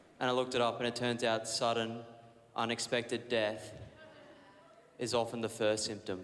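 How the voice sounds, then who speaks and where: A man with an Australian accent speaks at medium pitch and a moderate pace, monotone and flat, with long, frequent pauses. Noticeable background noise and audible room echo come through. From Australia, Brisbane, Queensland. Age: 20s. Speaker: comedian. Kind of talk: stand-up. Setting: stage with audience.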